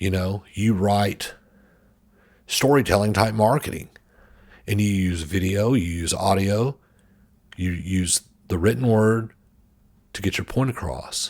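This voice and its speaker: Speaking with an American accent, a man with a fairly low pitch talks at a fairly slow pace with long, frequent pauses and ordinary pitch variation on a very clean recording with a silent background. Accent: Southern US, can switch it on and off. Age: 40s. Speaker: creative marketer and podcaster. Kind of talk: motivational talk.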